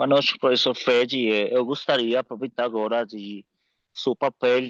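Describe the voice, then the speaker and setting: A man with a non-native accent and medium pitch, fairly slow and fairly even in intonation, with a dry, close sound and no echo. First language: Spanish (speaking Portuguese). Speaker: course participant, coach. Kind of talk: question in online course. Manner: halting.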